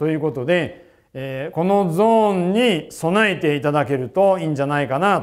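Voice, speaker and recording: A man at a high pitch with ordinary pitch variation, against a quiet background. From Japan. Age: 50s. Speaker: financial planner and investment newsletter writer; investment newsletter writer. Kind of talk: investment seminar talk. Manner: formal. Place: studio. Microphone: lapel.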